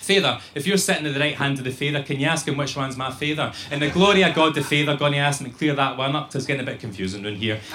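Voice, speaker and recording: Over noticeable background noise, a man talks at a very fast pace with hardly any pauses, a fairly high pitch and ordinary pitch variation. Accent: Glaswegian. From Glasgow. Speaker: poet. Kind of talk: spoken word poetry.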